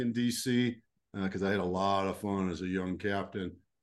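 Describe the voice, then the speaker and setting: A man with a Texan accent at a moderate pace and fairly even intonation. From Texas. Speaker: leadership coach and retired army officer. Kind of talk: interview.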